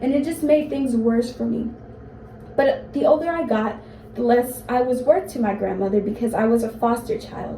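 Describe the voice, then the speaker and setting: Amid noticeable background noise and audible room echo, a woman speaks at a moderate pace with a high pitch and ordinary pitch variation. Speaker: college student. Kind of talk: speech to classmates.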